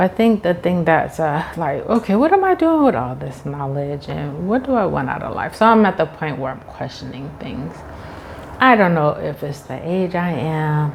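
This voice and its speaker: Amid noticeable background noise, a woman with a fairly low pitch talks at a moderate pace, her intonation lively and her loudness swinging widely. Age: 50s. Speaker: teacher and YouTuber. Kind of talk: casual talk to camera.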